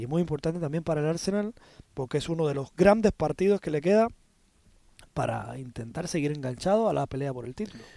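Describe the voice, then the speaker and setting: An ordinary speaking voice from a man, fairly high in pitch, with lively intonation. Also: dry, close sound with no echo. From Spanish-speaking Caribbean. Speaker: football pundit. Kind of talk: sports analysis chat.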